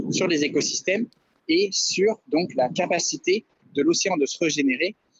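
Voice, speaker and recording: A man's voice with lively intonation. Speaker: environmental activist. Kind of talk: radio interview. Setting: phone call.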